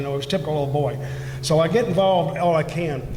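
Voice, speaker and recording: A man talks at a fairly quick pace and a fairly high pitch. Noticeable background noise and audible room echo surround him. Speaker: school board candidate. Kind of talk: candidate forum answer. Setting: event hall with audience. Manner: halting; loud.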